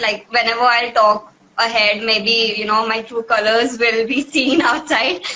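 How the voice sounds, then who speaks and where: There is noticeable background noise as a woman speaks in a fairly high pitch. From Africa, Indian family. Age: 20s. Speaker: student and author. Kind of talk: talk show interview.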